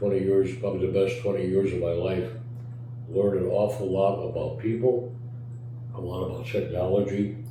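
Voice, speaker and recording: There is noticeable background noise and audible room echo. A man with an American accent speaks fairly low at a moderate pace, with fairly even intonation. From US Midwest, Chicago. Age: 80s+. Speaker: retired organ company accountant. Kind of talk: interview.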